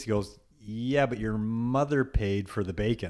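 In an ordinary speaking voice, a man talks at medium pitch and a moderate pace with ordinary pitch variation. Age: 40s. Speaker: podcast co-host. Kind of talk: casual chat.

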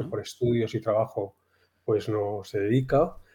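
Fairly slow speech from a man at medium pitch, somewhat breathy, in a dark, mellow tone with ordinary pitch variation, over a quiet background. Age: 50s. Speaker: amateur golfer. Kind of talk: casual chat.

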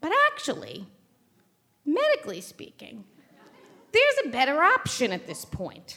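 A woman with a New York accent speaks in an animated tone at a moderate pace. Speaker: event host and storyteller. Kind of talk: live storytelling. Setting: stage with audience.

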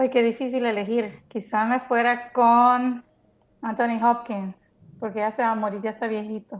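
Her intonation stays monotone and flat. The woman talks fairly slowly with a fairly high pitch. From El Salvador. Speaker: podcast co-host. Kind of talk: casual chat.

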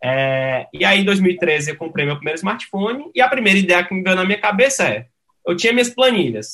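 A man speaks in a high pitch with a bright, sharp tone. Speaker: tech startup CEO. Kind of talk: interview.

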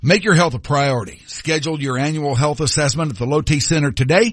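A man talks at a fairly quick pace. His voice is fairly high and somewhat breathy. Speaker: radio host. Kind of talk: radio dj patter. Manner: warm, easygoing, chatty, upbeat.

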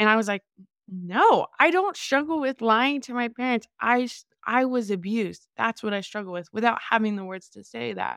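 With a normal speaking voice, a woman talks at a moderate pace, fairly high in pitch with ordinary variation and big swings in loudness, in a dry, close, echo-free, very clean recording with a silent background. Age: 20s. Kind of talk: interview testimony.

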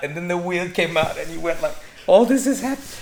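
A man amid noticeable background noise. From Singapore. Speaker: director and entrepreneur. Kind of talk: casual chat.

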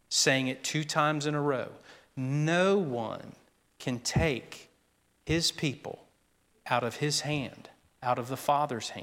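Long, frequent pauses break up a man's very slow, fairly high-pitched speech with an American accent and fairly even intonation. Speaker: pastor. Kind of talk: sermon. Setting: church.

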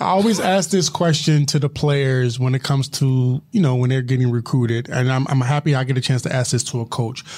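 A man with an American accent talks at a fairly quick pace and medium pitch, somewhat breathy, with very even loudness and hardly any pauses. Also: ordinary pitch variation. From Philadelphia. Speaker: podcast host. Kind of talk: casual interview chat.

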